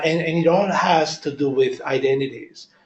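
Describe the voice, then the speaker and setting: A man speaks with a strong Italian accent. His voice is somewhat breathy. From Italy. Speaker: audience member at a staff talk. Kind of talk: group discussion.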